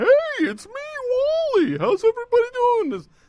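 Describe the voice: The voice is an exaggerated put-on character. Its pitch climbs to an extremely high register. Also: moderate pace.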